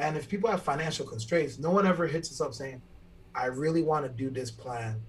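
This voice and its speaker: A somewhat breathy man's voice, fairly high in pitch, at a fairly quick pace with ordinary pitch variation. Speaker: fitness trainer. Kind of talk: casual chat. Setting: video call.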